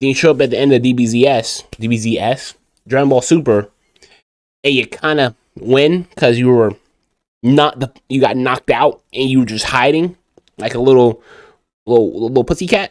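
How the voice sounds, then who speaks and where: A man speaks at a medium pitch with ordinary pitch variation. He pauses often and at length. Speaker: YouTuber ranking anime characters. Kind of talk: casual tier list commentary. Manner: animated; fast. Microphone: poor mic quality.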